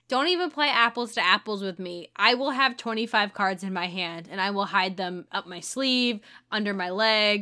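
The voice has an American accent and a bright, sharp tone, with ordinary pitch variation. It goes at a moderate pace on a very clean recording with a silent background. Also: woman, medium pitch for a woman. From St. Louis, Missouri (US Midwest). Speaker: podcast co-host. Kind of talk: casual chat.

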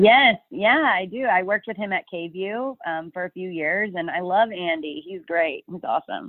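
This woman has a normal speaking voice at medium pitch, with an American accent, lively intonation and big swings in loudness. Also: moderate pace. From Texas, Dallas area. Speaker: TV news reporter. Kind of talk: casual interview.

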